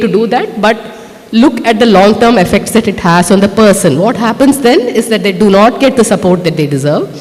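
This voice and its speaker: Over noticeable background noise, a woman talks at a fairly quick pace with lively intonation and very even loudness. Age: 50s. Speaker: author. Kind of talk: speech at a book launch. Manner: conversational, many fillers.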